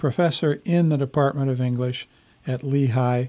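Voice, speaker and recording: In a very clean recording with a silent background, a man with a normal speaking voice talks at a medium pitch with ordinary pitch variation. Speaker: radio host. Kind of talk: radio interview. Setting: radio studio.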